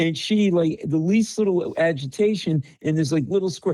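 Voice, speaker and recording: A man speaks in a high voice with an animated tone. The background is quiet. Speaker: comedian. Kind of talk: casual chat. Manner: loud.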